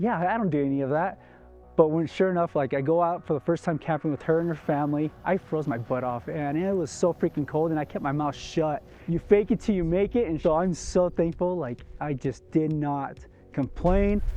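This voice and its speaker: At a fairly quick pace, a man speaks in a plain, everyday voice, fairly high in pitch with ordinary pitch variation. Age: 30s. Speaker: safety director. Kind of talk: personal testimony.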